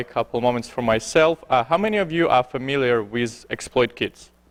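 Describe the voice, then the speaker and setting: With a dry, close sound and no echo, a man speaks at a moderate pace and medium pitch with ordinary pitch variation. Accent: Belarusian. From Belarus. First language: Belarusian or Russian. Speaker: security researcher, conference speaker. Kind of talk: conference talk. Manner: halting, many fillers.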